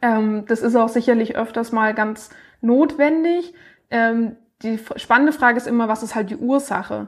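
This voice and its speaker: This woman talks at a fairly slow pace with fairly high pitch and ordinary pitch variation. It is an ordinary speaking voice. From Baden-Württemberg, Baden-Baden. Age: 20s. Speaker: speech therapist and startup founder. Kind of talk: interview.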